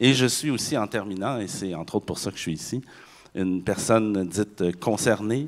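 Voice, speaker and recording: A man's fairly low voice in a Quebec accent, at a moderate pace with ordinary pitch variation, on a very clean recording with a silent background. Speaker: university professor. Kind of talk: conference panel talk.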